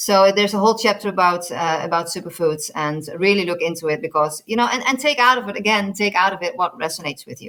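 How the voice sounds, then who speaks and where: Talking very fast with hardly any pauses, a woman uses a bright, sharp tone at medium pitch, with lively intonation and big swings in loudness. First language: not English. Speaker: nutritionist. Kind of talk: interview. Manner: halting, many repeated words.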